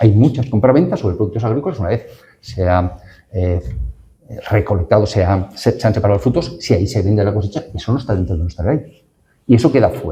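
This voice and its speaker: Racing at a very fast pace, a man with a fairly low, somewhat breathy voice and a dark, mellow tone speaks with lively intonation. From northern Castellón, Valencian Community, Spain. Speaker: law professor, panel speaker. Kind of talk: academic panel talk. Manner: hesitant, with fillers and restarts.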